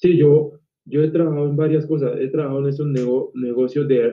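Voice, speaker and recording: A man's fairly high voice, flat and monotone in its intonation. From Cali, Colombia. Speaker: actor. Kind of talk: casual interview.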